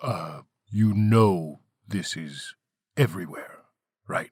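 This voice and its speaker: A man's put-on character voice, fairly low in pitch and very slow in pace. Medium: read story. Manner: terse, deadpan.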